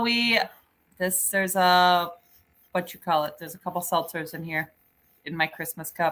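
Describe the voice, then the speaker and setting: With an American accent, a woman at medium pitch speaks at a moderate pace in a bright, sharp tone, with big swings in loudness and long, frequent pauses. The recording is very clean, with a silent background. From Michigan. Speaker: YouTube channel co-host. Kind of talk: casual livestream chat. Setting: off-grid cabin livestream.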